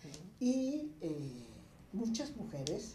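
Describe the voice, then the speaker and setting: This is a woman's voice. Room echo can be heard. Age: 60s. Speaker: feminist activist. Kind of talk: casual chat.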